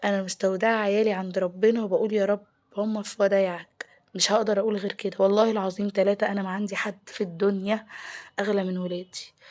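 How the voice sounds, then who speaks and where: A woman talks at a fairly quick pace with an Egyptian accent. Her medium-pitched voice stays monotone and flat. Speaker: home lifestyle vlogger. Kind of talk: casual vlog talk.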